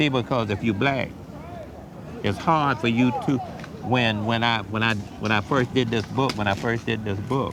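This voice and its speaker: A man's voice, fairly even in intonation and moderate in pace, carries through audible room echo and noticeable background noise. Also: medium pitch for a man, very even loudness. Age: 70s. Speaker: author. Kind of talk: interview. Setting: church. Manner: halting.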